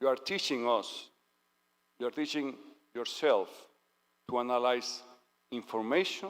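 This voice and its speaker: At a moderate pace with long, frequent pauses, a man speaks at medium pitch with ordinary pitch variation. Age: 60s. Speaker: dignitary giving a speech. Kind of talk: ceremonial speech. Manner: formal.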